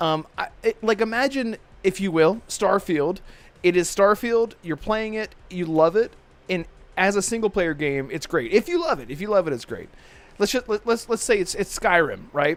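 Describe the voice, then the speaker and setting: A man talks in a high voice at a moderate pace. His tone is animated and his intonation lively. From Maryland, US. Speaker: gaming podcast host. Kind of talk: casual chat.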